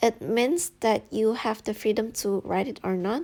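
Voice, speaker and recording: A woman with an Indonesian accent, fairly high in pitch, with ordinary pitch variation and a very slow pace, in a very clean recording with a silent background. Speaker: YouTuber giving study-abroad advice. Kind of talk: tutorial. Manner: casual, with fillers.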